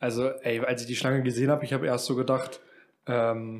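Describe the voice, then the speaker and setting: A man has an unremarkable speaking voice, medium in pitch, with fairly even intonation. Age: 20s. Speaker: podcast co-host. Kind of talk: casual chat.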